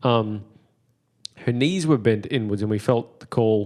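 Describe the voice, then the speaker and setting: Over a quiet background, a man with an Australian accent talks at a moderate pace and medium pitch. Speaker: podcast host. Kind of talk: casual chat; testimony.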